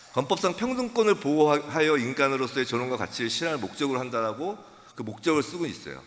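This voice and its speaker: Lively intonation from a man with a fairly high voice, delivered at a very fast pace. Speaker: pastor and lawyer. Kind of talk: lecture.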